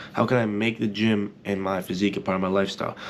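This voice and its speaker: A man with a fairly low pitch talks at a very fast pace. His tone is energetic. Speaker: soccer and self-improvement YouTuber. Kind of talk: motivational vlog talk. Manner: casual, energetic.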